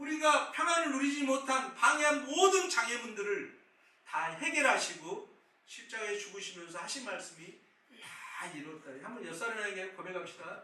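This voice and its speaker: The voice is raised and projected, moving at a moderate pace with very wide pitch swings amid audible room echo. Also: man. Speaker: pastor. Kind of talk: sermon.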